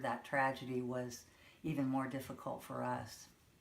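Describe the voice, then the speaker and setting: A woman with an American accent talks at a moderate pace. Room echo can be heard. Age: 60s. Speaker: grandmother being interviewed. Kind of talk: interview.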